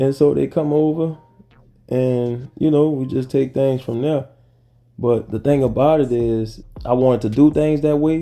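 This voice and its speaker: With a New Orleans accent, a man talks at a moderate pace in a relaxed tone, his medium-pitched voice keeping a fairly even intonation. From US South, New Orleans. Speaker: YouTuber, dating and travel vlogger. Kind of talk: casual vlog talk. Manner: relaxed, conversational.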